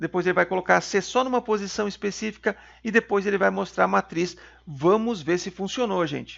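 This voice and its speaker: Speaking at a fairly quick pace, a man has a high pitch and ordinary pitch variation. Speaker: programming teacher. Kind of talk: tutorial.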